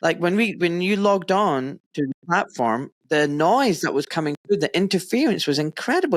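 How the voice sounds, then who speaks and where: A man speaks in a high voice with a Scottish accent and lively intonation. The sound is dry and close, with no echo. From Scotland, Pakistani-Kashmiri heritage. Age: 40s. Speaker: podcast host, doctor. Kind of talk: casual interview chat.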